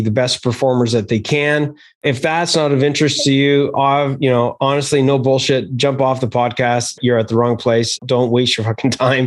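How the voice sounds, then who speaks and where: A man has a plain, everyday voice at medium pitch. He keeps a moderate pace and fairly even intonation. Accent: Canadian. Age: 50s. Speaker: podcast host. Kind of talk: casual interview.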